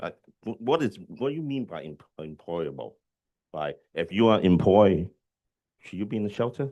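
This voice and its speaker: Fairly low in pitch, a man speaks at a moderate pace with very wide pitch swings. Long, frequent pauses break up his speech. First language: not English. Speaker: community board member. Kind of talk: public meeting questions. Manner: halting.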